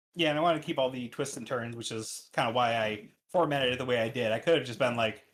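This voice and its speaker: A man talks fairly quickly, his medium-pitched voice showing ordinary pitch variation. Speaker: podcast host. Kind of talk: casual chat. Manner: fast.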